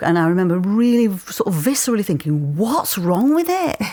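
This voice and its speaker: In a Yorkshire accent, a woman talks fairly quickly in a dark, mellow tone with very wide pitch swings. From Yorkshire, Leeds. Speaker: actor and playwright. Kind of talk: interview. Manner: halting.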